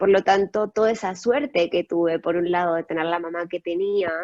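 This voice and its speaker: In a plain, everyday voice, a woman talks at a fairly quick pace with a medium pitch and fairly even intonation, the sound dry and close with no echo. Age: 20s. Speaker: guest speaker sharing personal experience. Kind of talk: testimony.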